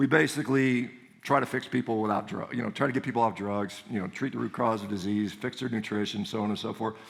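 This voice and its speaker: An American accent marks this man's animated tone. He speaks at a very fast pace. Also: medium pitch for a man. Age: 50s. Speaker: orthopedic surgeon and speaker. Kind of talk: conference talk.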